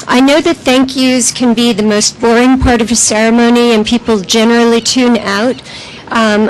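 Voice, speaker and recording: Over noticeable background noise, a woman with a fairly high pitch talks at a moderate pace, her loudness very even and her intonation fairly even. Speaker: arts project manager. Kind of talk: ceremony speech.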